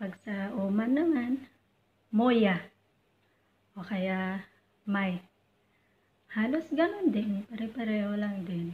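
Over light background noise, a woman speaks at a very slow pace with long, frequent pauses. Her pitch variation is ordinary. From Philippines. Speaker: overseas domestic worker and YouTuber; YouTuber. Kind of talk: tutorial. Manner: polite, uses po. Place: home room. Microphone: phone near.

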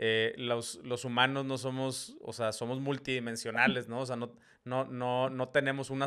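Against a quiet background, a man with a Mexican accent speaks fairly slowly in a bright, sharp tone with monotone, flat intonation. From Mexico. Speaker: podcast host. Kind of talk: casual interview. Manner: halting, many repetitions. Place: home room. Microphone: studio mic.

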